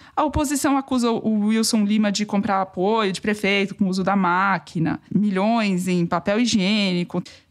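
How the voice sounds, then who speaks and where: At a moderate pace, a woman with a plain, everyday voice talks in a medium pitch that varies in an ordinary way. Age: over 24. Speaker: political journalist, podcast co-host. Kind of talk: casual political discussion. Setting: home recording.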